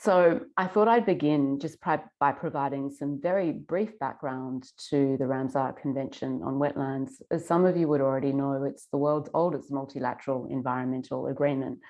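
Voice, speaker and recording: With an Australian accent, a woman talks at a moderate pace in a very deep, low pitch, using ordinary pitch variation. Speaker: environmental lawyer. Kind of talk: conference presentation.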